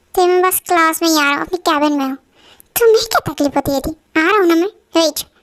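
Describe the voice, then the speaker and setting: A woman uses a put-on character voice pitched extremely high. She rattles through it at a very fast pace. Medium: solo performance. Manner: firm, authoritative.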